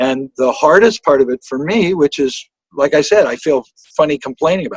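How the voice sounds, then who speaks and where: Talking at a fairly quick pace, a man uses a fairly high pitch and lively intonation. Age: 60s. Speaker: singer-songwriter and guitarist. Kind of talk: interview. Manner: halting.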